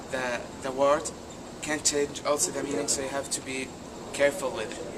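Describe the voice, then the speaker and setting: With an Arabic accent, a man speaks at a fairly high pitch and moderate pace in a monotone, flat intonation over noticeable background noise. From Saudi Arabia. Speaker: international student. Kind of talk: interview. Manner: halting.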